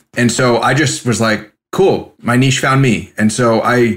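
With an American accent, a man speaks in a plain, everyday voice at a medium pitch and with fairly even intonation, on a very clean recording with a silent background. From San Francisco, California. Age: 30s. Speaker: portrait artist. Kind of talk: interview. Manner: casual.

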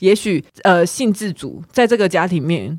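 Over a silent background in a very clean recording, a woman with a fairly low pitch talks at a moderate pace with very wide pitch swings. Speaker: podcast co-host. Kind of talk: casual chat.

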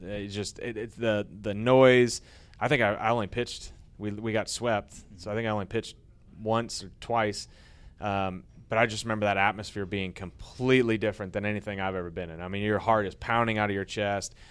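A man with an American accent speaks at a fairly quick pace in a fairly low pitch. His intonation is monotone and flat, and the recording is very clean with a silent background. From US Midwest, St. Louis area (Florissant). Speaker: retired baseball pitcher. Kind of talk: interview in front of an audience.

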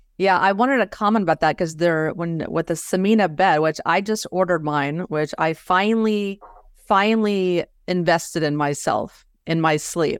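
At a moderate pace, an unremarkable speaking voice with ordinary pitch variation comes through in a very clean recording with a silent background. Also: woman, fairly low pitch for a woman. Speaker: health podcast host. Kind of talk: interview.

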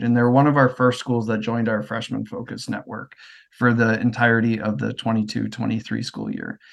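Medium-pitched man with a Midwestern American accent, talking at a fairly quick pace against a quiet background. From US Midwest. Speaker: education network manager. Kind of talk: casual interview conversation.

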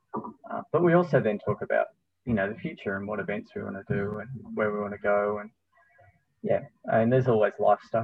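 Speaking at a fairly quick pace with an Australian accent, a man leaves long, frequent pauses. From Tasmania, Australia. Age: 40s. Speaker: running store manager and running coach. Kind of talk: casual interview. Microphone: unstable connection, drops out.

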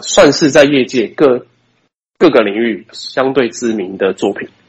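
A man speaks at a very slow pace. His pitch is medium and its variation ordinary. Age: 20s. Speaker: video production company owner. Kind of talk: interview. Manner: halting.

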